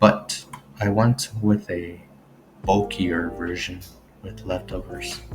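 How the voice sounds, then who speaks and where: Over music in the background, a man speaks quietly and very slowly in a very deep, low pitch, with ordinary pitch variation and long, frequent pauses. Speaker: gaming video creator. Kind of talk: casual commentary on teambuilding. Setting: home recording, late at night. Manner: quiet, low voice.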